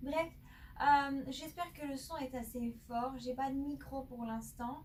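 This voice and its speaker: Loud and high-pitched, a woman speaks at a very slow pace with fairly even intonation. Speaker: tarot card reader. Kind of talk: tarot reading monologue. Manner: hesitant, many filler sounds; speaking loudly.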